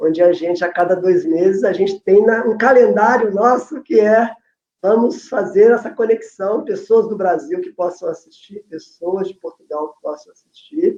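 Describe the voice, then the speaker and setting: A man speaks at a moderate pace with a high pitch and lively intonation. His loudness swings widely. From Brazil. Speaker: family constellation facilitator, educator. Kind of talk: casual chat, online live talk.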